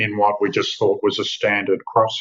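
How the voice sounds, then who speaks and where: A man talks with an Australian accent. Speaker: winemaker and wine company managing director. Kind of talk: podcast interview.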